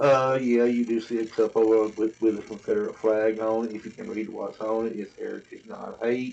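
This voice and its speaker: A man talks with a Southern accent at a moderate pace. He leaves hardly any pauses. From US South, Tennessee. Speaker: vlogger. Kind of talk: casual monologue to camera. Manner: rambling.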